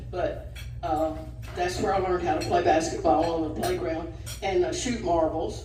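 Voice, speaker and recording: Amid noticeable background noise and audible room echo, a woman with a Southern US accent talks at a moderate pace. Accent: Southern US (Georgia). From north Georgia, US South. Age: 80s+. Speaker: retired alumna sharing memories. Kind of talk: personal storytelling at a group lunch. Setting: restaurant lunch gathering. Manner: halting, with frequent fillers.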